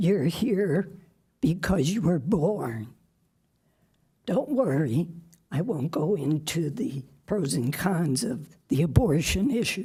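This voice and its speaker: A woman with a fairly low pitch and a dark, mellow, somewhat breathy tone speaks at a very slow pace with very wide pitch swings and long, frequent pauses, amid audible room echo. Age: 80s+. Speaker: public commenter. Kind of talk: public comment speech. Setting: city council meeting.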